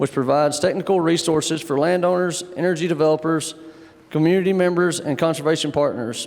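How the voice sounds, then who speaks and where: A man speaks at a very fast pace with an American accent and a high pitch. His intonation stays fairly even over noticeable background noise. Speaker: panel moderator. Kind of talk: panel discussion moderation. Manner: casual, folksy.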